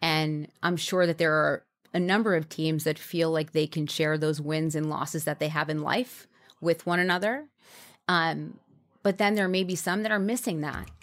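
A woman with an American accent and a plain, everyday voice talks at a moderate pace and fairly low pitch with ordinary pitch variation, on a very clean recording with a silent background. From New York. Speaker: brand marketing executive and entrepreneur. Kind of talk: interview. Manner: conversational with frequent fillers.

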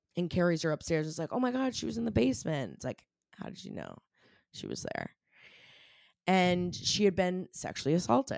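A woman's fairly low, fairly quick speech with very wide pitch swings, big swings in loudness and long, frequent pauses, on a very clean recording with a silent background. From Maine. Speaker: podcast host. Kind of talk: casual chat. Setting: studio. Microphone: new mic setup.

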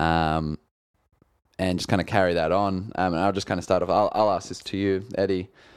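The recording is very clean, with a silent background. A man with a very deep, low pitch speaks at a fairly quick pace in a monotone, flat intonation. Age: 20s. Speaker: podcast co-host. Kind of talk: casual chat.

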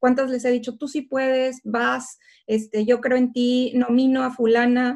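A woman's high voice in a monotone, flat intonation at a fairly slow pace. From northern Mexico, Tamaulipas (Ciudad Victoria). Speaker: political scientist and tech founder. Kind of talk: interview.

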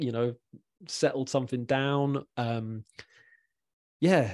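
Here is a man with an English accent at a medium pitch. His intonation is fairly even against a quiet background. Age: 40s. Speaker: mental health podcast host. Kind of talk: casual chat.

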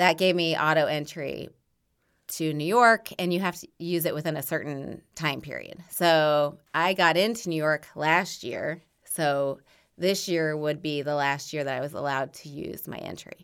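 Speaking with a Midwestern US accent, a woman with a very deep, low voice keeps her intonation fairly even while her loudness swings widely. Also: fairly slow pace, very clean recording, silent background. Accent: US Midwest. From Indiana, Bloomington. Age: 40s. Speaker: marathon runner and running coach. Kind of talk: casual chat.

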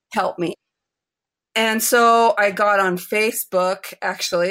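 In a very clean recording with a silent background, a woman with an American accent talks at a medium pitch in a bright, sharp tone, her pitch varying in an ordinary way. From United States. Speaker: artist and family historian. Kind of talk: interview.

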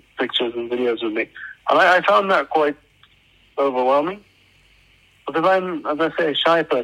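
A man with a British accent speaks at a moderate pace with long, frequent pauses. His voice is fairly high in pitch, with ordinary pitch variation and a bright, sharp tone. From UK, raised in Oman. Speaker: social media influencer. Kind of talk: interview.

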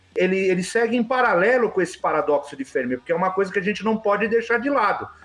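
The man's voice is high in pitch. Noticeable background noise runs behind him. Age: 40s. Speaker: UFO enthusiast. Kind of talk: casual chat.

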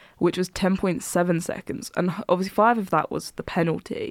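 A woman with an Essex accent speaks at a fairly quick pace and medium pitch with fairly even intonation. The recording is very clean with a silent background, dry and close with no echo. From Essex, England. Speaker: podcast co-host. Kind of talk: casual chat.

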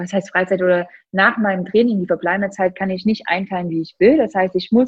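A woman talks at a medium pitch, her voice somewhat breathy. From Thuringia, Germany. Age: 30s. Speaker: CrossFit athlete. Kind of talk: casual interview.

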